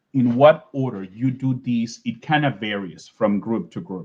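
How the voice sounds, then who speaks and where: Medium pitch and lively intonation from a male speaker. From Venezuela. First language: Spanish. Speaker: scientist giving an invited talk. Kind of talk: lecture. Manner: halting, many fillers and repetitions.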